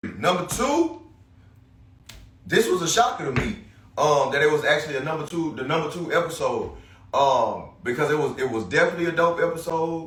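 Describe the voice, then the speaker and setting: A loud, high-pitched male voice at a fairly quick pace, with ordinary pitch variation, long, frequent pauses and audible room echo. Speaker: podcast host. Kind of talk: casual solo podcast monologue. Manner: halting, many fillers.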